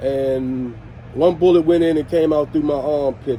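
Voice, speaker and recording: A man with an American accent speaks at a fairly high pitch. His intonation is fairly even, and there is noticeable background noise. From Washington DC (Southeast). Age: 60s. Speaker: former skate club member and community figure. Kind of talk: interview storytelling.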